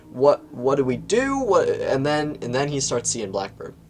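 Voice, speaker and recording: A man talks in an animated tone. Noticeable background noise runs behind him. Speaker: video game book reviewer. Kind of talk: casual review monologue.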